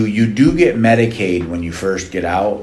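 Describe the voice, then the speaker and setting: A man with lively intonation, heard through audible room echo and noticeable background noise. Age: 50s. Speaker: nonprofit leader and formerly incarcerated person. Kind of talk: interview.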